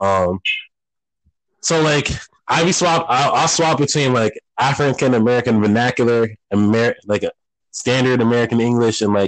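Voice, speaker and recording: A man talks at a medium pitch with very even loudness. His speech has long, frequent pauses. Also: ordinary pitch variation, moderate pace. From United States, child of Caribbean-type Creole-speaking immigrants. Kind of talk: casual chat. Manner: casual, profane, code-switching.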